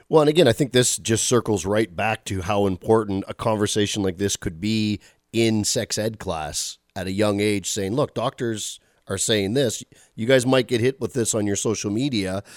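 Speaking at a moderate pace, a man with an ordinary speaking voice has a fairly low pitch and ordinary pitch variation. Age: 40s. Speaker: podcast co-host. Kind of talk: casual chat.

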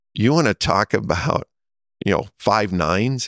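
The sound is dry and close with no echo as a man with a Midwestern US accent talks with very wide pitch swings. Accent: US Midwest. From Nebraska. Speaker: telecom company CEO. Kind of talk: interview. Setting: conference in Las Vegas.

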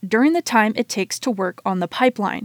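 A woman's fairly high-pitched, plain, everyday voice, dry and close with no echo, in a very clean recording with a silent background. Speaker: radio reporter. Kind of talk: scripted radio news report, read aloud. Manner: formal, even and informative, steady newsreading pace.

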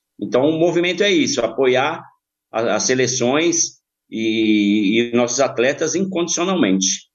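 A man talks in an unremarkable speaking voice at a fairly slow pace, his pitch medium. His intonation is lively and his loudness very even. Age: 50s. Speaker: football supporter group member, insurance broker. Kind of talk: podcast interview.

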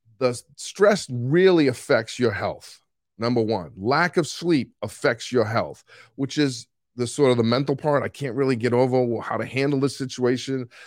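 In a Boston accent, a man speaks at medium pitch and a moderate pace with ordinary pitch variation. The recording is very clean, with a silent background. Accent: Boston accent, fairly strong. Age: 60s. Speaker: coach. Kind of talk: casual solo talk about coaching. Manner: can get loud and animated.

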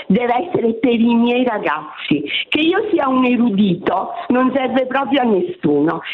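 Very slow, high-pitched speech from a woman, with very wide pitch swings, audible room echo and noticeable background noise. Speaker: retired teacher. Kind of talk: radio call-in. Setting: phone call.

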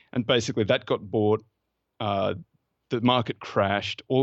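Speaking at a fairly quick pace with an Australian accent, a man keeps a fairly even intonation at a fairly low pitch. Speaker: fund manager and former lawyer. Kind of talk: interview conversation about investing.

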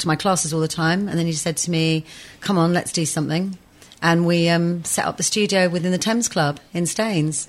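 A woman with a plain, everyday voice moves at a fairly quick pace, her fairly low pitch paired with fairly even intonation. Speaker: yoga teacher.

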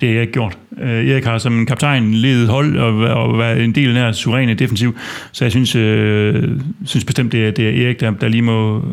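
A man with an ordinary speaking voice talks at a moderate pace and medium pitch, his intonation fairly even. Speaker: fan podcast host. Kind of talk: casual football discussion.

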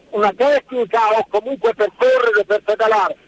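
Pitched high, a man speaks with ordinary pitch movement as noticeable noise sounds behind him. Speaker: radio caller, former competitive athlete. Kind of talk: radio call-in.

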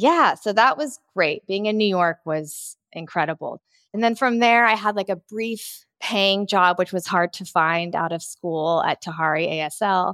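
A woman with an unremarkable speaking voice and an American accent, medium in pitch with ordinary pitch variation, at a fairly slow pace with hardly any pauses, in a very clean recording with a silent background and a dry, close sound with no echo. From Los Angeles, US. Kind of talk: interview.

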